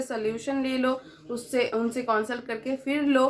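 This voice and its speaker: Noticeable background noise around a woman's speech, its intonation fairly even. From West Bengal, India. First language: Bengali (speaking Hindi). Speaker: vlogger. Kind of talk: casual vlog chat.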